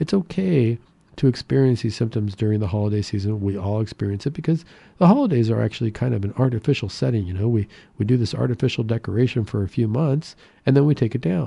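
Against a quiet background, a man with a dark, mellow tone and medium pitch speaks at a very fast pace, somewhat breathy and with lively intonation. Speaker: radio host and psychiatrist. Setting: radio studio. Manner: friendly, upbeat, conversational with filler words and seasonal cheer.

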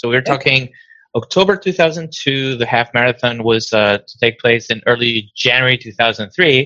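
A man with a Spanish accent speaks at a moderate pace with a medium pitch, ordinary pitch variation and a bright, sharp tone. His loudness swings widely, and the sound is dry and close with no echo. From Venezuela. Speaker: diabetes nonprofit founder. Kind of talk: interview. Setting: video call.

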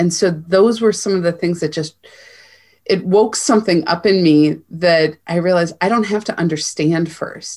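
On a very clean recording with a silent background, a woman speaks in a plain, everyday voice at a fairly low pitch, moderate pace and ordinary pitch variation. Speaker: spiritual coach. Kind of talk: interview.

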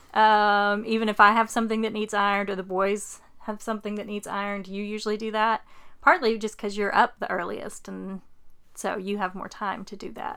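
Bright and sharp in tone, a woman speaks at a fairly high pitch and a moderate pace. The recording is very clean, with a silent background. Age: 40s. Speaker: podcast host and caregiver mother. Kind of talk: casual chat.

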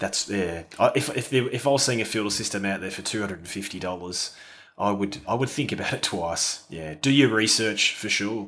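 A man's fairly low voice in an Australian accent, relaxed and enthusiastic, bright and sharp in tone, fairly quick in pace, with ordinary pitch variation and big swings in loudness. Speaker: landscape photographer. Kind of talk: casual interview chat. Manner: relaxed, enthusiastic, hesitant with fillers.

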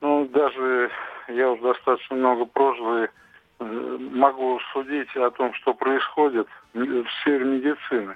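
A man at medium pitch with a monotone, flat intonation and a very slow pace. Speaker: caller. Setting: phone call. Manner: halting.

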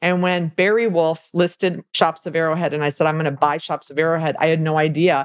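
A woman with an American accent speaks in a plain, everyday voice at a fairly quick pace, her fairly low pitch held to a fairly even intonation in a dry, close sound with no echo. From US Midwest, Milwaukee, Wisconsin. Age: 50s. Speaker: commercial real estate owner and leasing coach. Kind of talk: casual interview.

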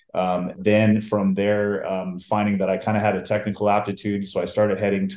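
Speaking at a fairly quick pace, a man keeps a fairly low pitch and monotone, flat intonation. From US Pacific Northwest, Seattle. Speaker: IT business development and engineering lead. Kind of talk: casual interview.

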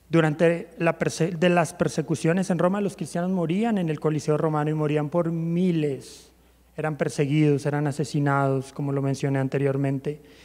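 Dark, mellow tone from a man with a fairly high pitch, moderate pace and fairly even intonation. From Colombia, Bogotá. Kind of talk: church talk.

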